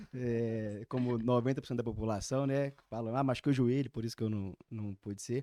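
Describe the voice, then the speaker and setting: In a dry, close sound with no echo, a man speaks with a dark, mellow tone and fairly even intonation, with hardly any pauses. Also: medium pitch for a man, fairly quick pace. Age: 20s. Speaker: lawyer, young lawyers' association president. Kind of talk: casual interview. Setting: studio.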